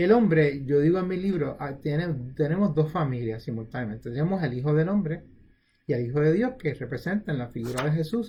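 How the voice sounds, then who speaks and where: Pitched fairly high, a man speaks at a fairly quick pace. His voice is somewhat breathy, with lively intonation. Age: 70s. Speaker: retired pediatric surgeon giving health talks. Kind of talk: informal health talk. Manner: halting.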